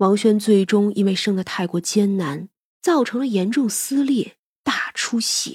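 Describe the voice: Against a quiet background, plain reading aloud.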